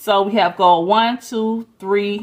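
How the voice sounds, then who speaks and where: A woman with an unremarkable speaking voice talks at a medium pitch with ordinary pitch variation. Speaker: lifestyle vlogger. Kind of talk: planner walkthrough tutorial. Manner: casual, chatty.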